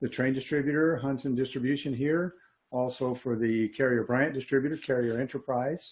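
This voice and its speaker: A man's ordinary speaking voice at medium pitch, with ordinary pitch variation, over a quiet background. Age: 60s. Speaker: HVAC technician and trainer. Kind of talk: interview.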